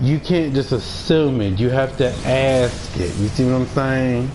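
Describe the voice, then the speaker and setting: A man speaks at a medium pitch. Audible room echo and noticeable background noise are present. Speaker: gaming streamer. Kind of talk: live stream chat. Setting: live stream. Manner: intense-sounding.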